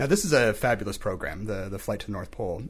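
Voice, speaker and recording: Somewhat breathy, the speech runs at a very fast pace. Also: man. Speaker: podcast host. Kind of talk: interview.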